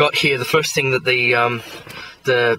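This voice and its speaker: Over light background noise, a man talks at a fairly quick pace in a monotone, flat delivery, with a dry sound that has no echo. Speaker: vlogger. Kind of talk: casual vlog chat. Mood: frustrated, annoyed. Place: car. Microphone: phone near.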